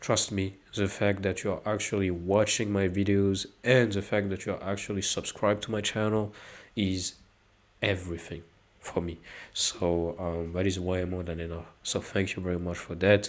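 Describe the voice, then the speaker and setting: A man with a very deep, low voice speaks at a moderate pace in a flat monotone, on a very clean recording with a silent background. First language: not English. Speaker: anime video essayist, YouTuber. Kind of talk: casual outro talk to viewers. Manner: hesitant, many fillers.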